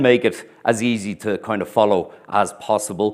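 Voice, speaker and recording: A man with an Irish accent, medium pitch and ordinary pitch variation. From Ireland. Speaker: historian and tour guide. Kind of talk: lecture. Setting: stage with audience. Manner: deliberately clear.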